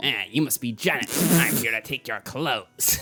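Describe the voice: A man puts on a gruff character voice at a medium pitch and a moderate pace.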